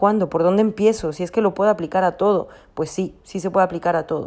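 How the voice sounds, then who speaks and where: A woman talks at a fairly quick pace with a dark, mellow tone. Her pitch is medium and her intonation fairly even. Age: 30s. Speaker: personal growth podcaster. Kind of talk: reflective monologue.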